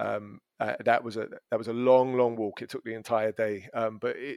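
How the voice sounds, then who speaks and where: At a moderate pace, a man with a London accent speaks in a medium pitch, recorded dry and close with no echo. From London, England. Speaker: language school business development manager. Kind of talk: casual interview chat. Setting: podcast recording.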